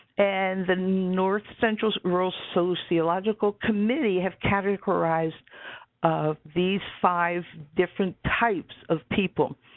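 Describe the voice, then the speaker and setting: Using a plain, everyday voice, a woman speaks fairly slowly at a medium pitch with fairly even intonation. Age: 60s. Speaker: webinar presenter. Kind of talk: lecture. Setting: webinar.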